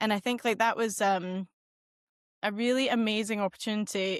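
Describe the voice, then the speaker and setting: Over a quiet background, a woman with a west of Scotland accent speaks at a medium pitch with fairly even intonation, the recording dry and close with no echo. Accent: west of Scotland Scottish. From west coast of Scotland. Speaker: marketing executive and entrepreneur. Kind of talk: podcast interview.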